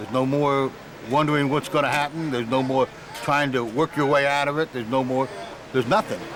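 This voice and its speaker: A man at a very fast pace, fairly even intonation, and noticeable background noise. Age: 60s. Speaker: prison inmate. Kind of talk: interview.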